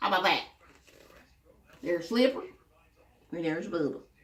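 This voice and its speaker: A woman's voice makes very wide pitch swings amid audible room echo. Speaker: storytelling grandmother. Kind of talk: reading aloud to children. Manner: animated.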